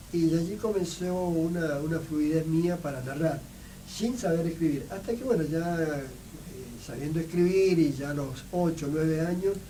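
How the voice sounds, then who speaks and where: A man at a high pitch and moderate pace, with ordinary pitch variation, audible room echo, and noticeable background noise. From Argentina, Mendoza (Medrano). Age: 60s. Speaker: writer and photographer. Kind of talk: radio interview. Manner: halting, many fillers.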